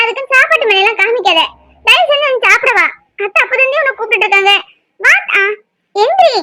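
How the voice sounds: A woman performs a cartoonish character voice at an extremely high pitch. Her intonation is lively and her pace moderate.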